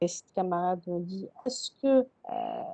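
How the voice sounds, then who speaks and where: A woman's dark, mellow voice swings very widely in pitch, recorded dry and close with no echo. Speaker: university lecturer. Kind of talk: lecture. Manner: slow.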